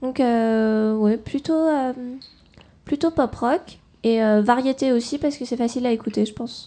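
A woman's high-pitched voice with a dark, mellow tone, at a fairly slow pace. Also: ordinary pitch variation. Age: 20s. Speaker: singer and art student. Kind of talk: radio interview. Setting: studio. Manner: halting.

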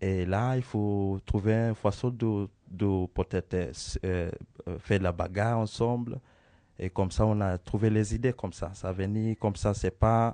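Against a quiet background, a man with a dark, mellow tone speaks at a very slow pace and fairly low pitch, with fairly even intonation and a dry, close sound with no echo. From Kenya. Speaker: circus acrobat. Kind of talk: interview answers for children's school radio. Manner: halting, searching for words.

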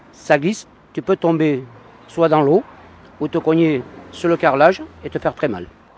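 Recorded dry and close with no echo, a man speaks at a fairly high pitch with ordinary pitch variation and long, frequent pauses. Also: moderate pace. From Paris. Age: 50s. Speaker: passer-by. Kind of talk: street interview. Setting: outdoors.

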